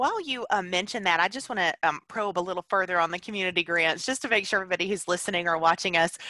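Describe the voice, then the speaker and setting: Very fast and bright, sharp in tone, a woman speaks at medium pitch with ordinary pitch variation in a dry, close sound with no echo. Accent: Southern US. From Alabama. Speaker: podcast host. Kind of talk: interview. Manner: animated.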